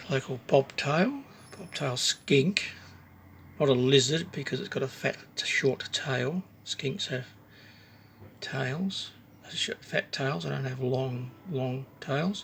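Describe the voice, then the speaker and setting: Over noticeable background noise, a man with an Australian accent speaks at a very slow pace with long, frequent pauses, using a fairly high pitch with ordinary variation. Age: 60s. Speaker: woodcarving hobbyist. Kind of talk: casual show-and-tell video. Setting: home workshop. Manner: halting, with fillers.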